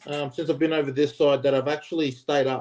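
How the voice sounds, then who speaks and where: A dark, mellow tone in an Australian accent, fairly quick and monotone with flat intonation. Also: man. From Australia, Queensland. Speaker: former rugby player. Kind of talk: casual chat.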